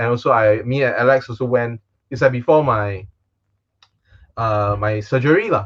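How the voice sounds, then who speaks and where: A man with a Singaporean accent speaks at a moderate pace and medium pitch with ordinary pitch variation and long, frequent pauses. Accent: Singaporean English with Singlish particles. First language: Chinese. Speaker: magician. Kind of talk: casual chat.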